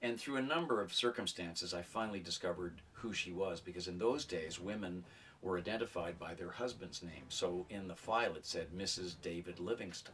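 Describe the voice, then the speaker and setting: A man talks at a fairly quick pace in a very deep, low pitch with ordinary pitch variation. Music plays in the background. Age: 60s. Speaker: writer and retired journalism professor. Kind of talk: interview testimony.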